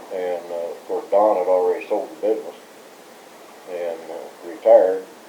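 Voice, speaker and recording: A man at a moderate pace with big swings in loudness, amid noticeable background noise and audible room echo. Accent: American. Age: 60s. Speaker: former scouting staff member. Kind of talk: oral history interview. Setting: recorded interview. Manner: hesitant, many fillers.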